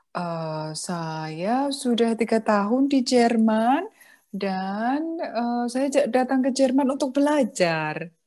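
Against a quiet background, a woman speaks at a very slow pace in a high pitch, with a dark, mellow tone and very wide pitch swings. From Semarang, Indonesia; Indonesia. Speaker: guest reader, student. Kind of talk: reading aloud; casual chat. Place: home room. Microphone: earbuds.

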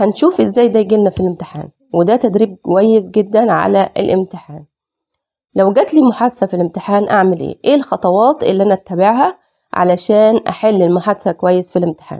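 At a moderate pace, a woman talks in an unremarkable speaking voice, medium in pitch with ordinary pitch variation. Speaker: English teacher. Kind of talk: lecture.

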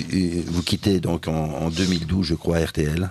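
Very deep and low in pitch, a man speaks at a very slow pace with fairly even intonation. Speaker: radio host. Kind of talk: radio interview. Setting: radio studio. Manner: hesitant, many fillers.

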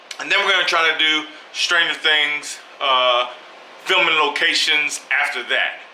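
Over light background noise and audible room echo, a man speaks at a fairly slow pace with fairly even intonation. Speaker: travel vlogger. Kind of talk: casual vlog chat. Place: home room. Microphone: phone near.

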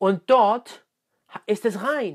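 Against a quiet background, a man with a warm tone speaks very slowly with lively intonation. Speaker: storyteller and storytelling coach. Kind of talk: storytelling, fairy-tale-like narration of a creation myth. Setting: self-recorded video to camera. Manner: animated, expressive, narrating with dramatic pacing; warm, conversational, addressing the audience directly. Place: home room.

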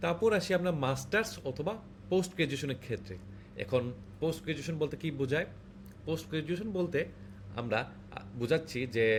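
A man talks with vocal fry at a fairly high pitch. His pitch swings very widely. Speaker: IELTS tutor. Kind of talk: tutorial. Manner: casual, conversational.

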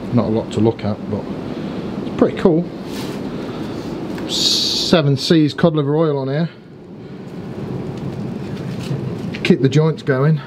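A man talks fairly slowly, his pitch varying in an ordinary way, with noticeable background noise behind him. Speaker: vlogger. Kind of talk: casual vlog chat. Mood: relaxed, joking. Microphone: phone near.

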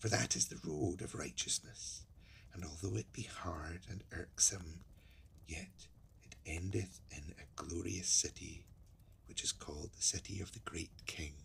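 A man puts on a raspy character voice at a very deep, low pitch. He delivers it at a moderate pace. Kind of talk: bedtime story. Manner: solemn, archaic speech.

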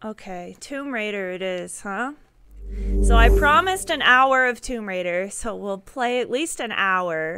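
With clear music in the background, a woman speaks at a fairly slow pace, using lively intonation and big swings in loudness. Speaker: gaming live streamer. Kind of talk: live gameplay stream chat. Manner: quieter than usual; casual, chatty. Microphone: headset.

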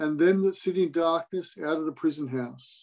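A man speaks at a high pitch in a dark, mellow tone. His intonation stays fairly even. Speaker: Bible reader in online meeting. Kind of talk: scripture reading. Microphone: video call.

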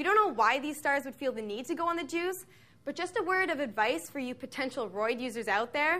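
A woman speaks at a fairly quick pace with a high, bright, sharp tone. Her intonation is lively.

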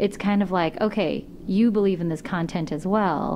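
A woman at a moderate pace with ordinary pitch variation over light background noise. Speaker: podcast host or guest. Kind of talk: interview answer. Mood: cheerful, laughing. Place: studio. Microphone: studio mic.

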